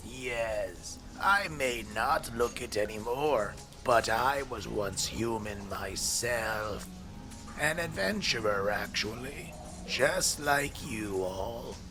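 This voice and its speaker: Over loud music in the background, a man uses a raspy put-on character voice at medium pitch and a very slow pace. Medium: audio drama. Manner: courteous, old-fashioned.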